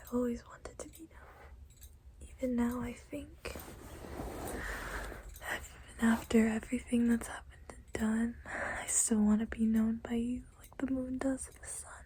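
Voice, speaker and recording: A woman whispers quietly, her loudness swinging widely between long, frequent pauses. Noticeable background noise sits behind her. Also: moderate pace. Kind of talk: poetry reading. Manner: whispered, quiet.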